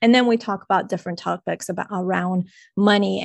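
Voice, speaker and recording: A woman speaks at a moderate pace in a monotone, flat intonation. Her background is quiet. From Colombia. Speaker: money expert and podcast host. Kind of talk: casual interview.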